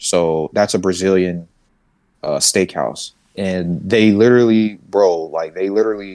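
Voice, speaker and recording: A man's very deep, low voice with a dark, mellow tone and an American accent. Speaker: podcast co-host. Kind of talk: casual chat. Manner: animated.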